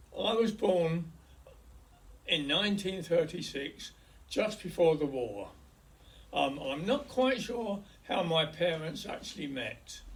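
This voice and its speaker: A high-pitched man with a London accent, very slow and full of long, frequent pauses, lively in intonation, with audible room echo. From west London, England. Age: 80s+. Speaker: hospice patient recording his life story. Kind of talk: oral history, personal memoir. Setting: hospice. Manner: halting.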